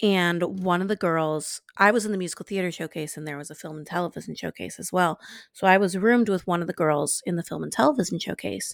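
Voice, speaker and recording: A woman with an American accent and a fairly low voice talks at a very fast pace with hardly any pauses, in an animated tone with ordinary pitch variation and big swings in loudness, on a very clean recording with a silent background and a dry, close sound with no echo. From US South, New Orleans. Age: 20s. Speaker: podcast co-host. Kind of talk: casual chat.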